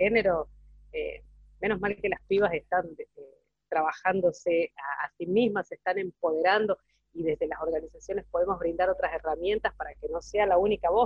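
A woman with an unremarkable speaking voice, medium pitch and fairly even intonation at a moderate pace. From Catamarca, Argentina. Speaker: legal clerk and feminist activist. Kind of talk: panel discussion.

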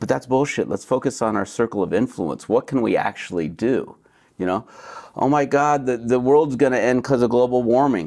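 A man speaks in an American accent at a moderate pace. He has an ordinary speaking voice, medium in pitch with ordinary variation. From United States. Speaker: beverage company co-founder, former chiropractor. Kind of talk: casual interview.

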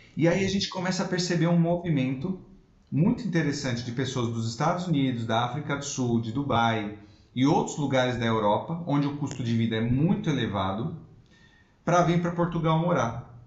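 With lively intonation, a man speaks at a fairly high pitch amid audible room echo. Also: moderate pace. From Brazil, São Paulo city. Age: 30s. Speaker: immigration lawyer. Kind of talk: interview.

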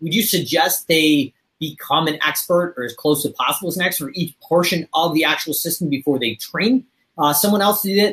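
Fairly quick pace with ordinary pitch variation. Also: man. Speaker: podcast host and business coach. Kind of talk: casual chat. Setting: studio. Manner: fast.

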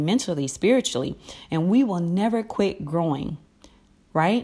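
With an ordinary speaking voice, a woman talks at a moderate pace and a fairly low pitch with lively intonation, on a very clean recording with a silent background. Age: 30s. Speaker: inspirational podcast host. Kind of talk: inspirational talk. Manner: conversational.

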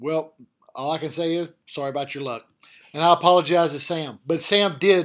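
A man with a Southern US accent, fairly high pitch, ordinary pitch variation and a moderate pace. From Arkansas. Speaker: college football head coach. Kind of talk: casual chat.

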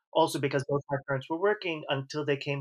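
In a plain, everyday voice with an American accent, a man talks at a fairly high pitch with fairly even intonation and a dry, close sound with no echo. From US Northeast, New York City. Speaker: author and translator. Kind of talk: interview.

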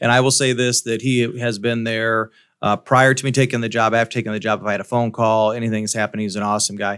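A man with a Midwestern US accent speaks at a very fast pace, medium pitch, and flat, monotone intonation. The recording is very clean, with a silent background and a dry, close sound with no echo. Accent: US Midwest. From Iowa, Davenport / Quad Cities area. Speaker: school superintendent. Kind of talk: interview.

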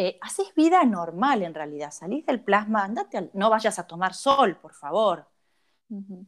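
A woman with a normal speaking voice talks at a fairly slow pace and medium pitch, her intonation lively and her loudness swinging widely. The recording is very clean, with a silent background. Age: 50s. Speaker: cosmetologist. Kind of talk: interview.

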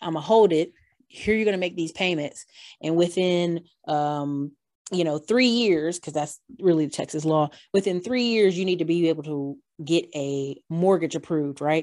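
A woman with an American accent, fairly low in pitch, at a moderate pace with ordinary pitch variation against a quiet background. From North Carolina. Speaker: YouTuber and real estate investor. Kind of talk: interview. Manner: animated.

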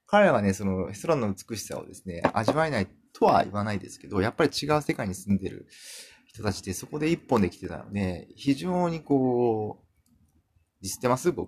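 Relaxed in tone, a man with a fairly low pitch speaks at a moderate pace, with big swings in loudness and very wide pitch swings. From Kumamoto, Japan. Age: 40s. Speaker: podcaster. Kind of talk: casual monologue. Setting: home room.

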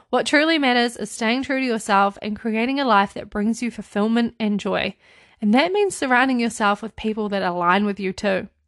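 A woman speaks at a fairly quick pace with a fairly high pitch. Her tone is animated, with ordinary pitch variation, over a quiet background. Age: 20s. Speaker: podcast host, interior designer. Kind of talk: casual solo chat.

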